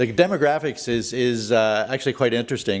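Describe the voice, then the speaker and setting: With a Canadian accent, a man talks at a medium pitch with ordinary pitch variation. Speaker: event organizer presenting to council. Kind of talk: presentation to council. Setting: council meeting. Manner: fast; hesitant with many fillers.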